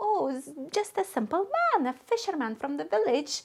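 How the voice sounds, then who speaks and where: A squeaky, put-on character voice with very wide pitch swings at a moderate pace. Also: woman, high pitch for a woman. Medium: read story.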